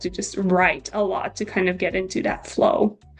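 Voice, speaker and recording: There is noticeable background noise behind the speaker. A woman talks fairly quickly at a medium pitch. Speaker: psychology PhD student. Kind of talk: casual interview chat. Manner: hesitant, many fillers.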